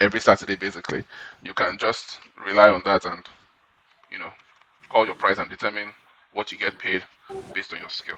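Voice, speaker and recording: The man's delivery is fairly brisk. He speaks in a fairly low register. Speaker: podcast host. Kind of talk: interview questions.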